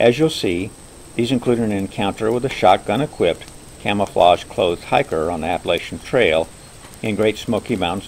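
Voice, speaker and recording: This man speaks at a fairly quick pace with a fairly low pitch and very wide pitch swings. Noticeable background noise runs behind him. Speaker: overlander, hiker. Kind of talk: campfire storytelling narration. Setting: outdoors by a campfire, nature sounds.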